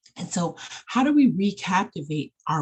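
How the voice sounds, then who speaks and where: This woman's voice is somewhat breathy and animated in tone. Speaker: life coach and counselor. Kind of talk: online training presentation. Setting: screen-shared video.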